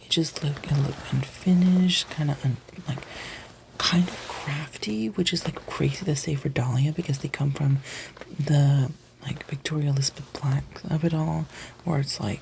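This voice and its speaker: A soft-spoken man's fairly high voice at a moderate pace, with ordinary pitch variation and noticeable background noise. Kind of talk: ASMR review and recap of a TV show, casual commentary.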